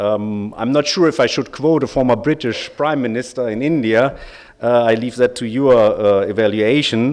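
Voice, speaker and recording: The speech has a German accent and moves at a moderate pace. Pitch variation is ordinary. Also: man, medium pitch for a man. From Germany. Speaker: lawyer, bar association representative. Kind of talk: conference speech.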